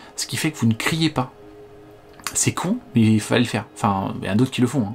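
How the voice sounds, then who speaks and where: Backed by music, a man talks at a fairly quick pace in a medium pitch with ordinary pitch variation. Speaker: tech reviewer. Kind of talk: product review. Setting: home living room. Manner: casual, hesitant; loud.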